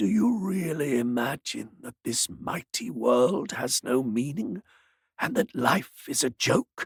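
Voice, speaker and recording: Using a put-on character voice, a man speaks fairly slowly at a fairly high pitch, his pitch swinging very widely. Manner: solemn and accusing.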